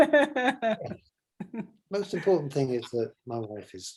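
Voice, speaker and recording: A man with a high pitch and an English accent talks at a very slow pace, with long, frequent pauses, big swings in loudness and very wide pitch swings. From Nigeria, then England. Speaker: photographer. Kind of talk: casual interview. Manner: halting, many repetitions.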